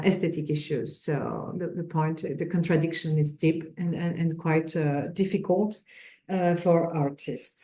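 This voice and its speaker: A woman with a French accent speaks at a fairly slow pace in a fairly low pitch. Her tone is dark and mellow, and her intonation stays fairly even. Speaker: sociohistorian. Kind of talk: lecture. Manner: halting.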